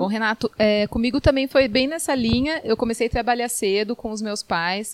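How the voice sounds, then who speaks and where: A woman with a plain, everyday voice and ordinary pitch variation, in a dry, close sound with no echo. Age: 30s. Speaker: lawyer. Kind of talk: radio interview. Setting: studio.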